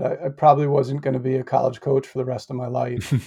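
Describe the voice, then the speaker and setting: With an American accent, a man speaks in a somewhat breathy, dark, mellow tone and fairly even intonation. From US Northeast, Connecticut. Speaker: former college basketball coach. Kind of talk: interview. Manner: halting.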